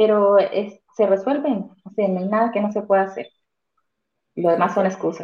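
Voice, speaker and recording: Using a normal speaking voice, a woman speaks at medium pitch and a moderate pace, with ordinary pitch variation and big swings in loudness. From Colombia. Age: 40s. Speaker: real estate investor. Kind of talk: testimony.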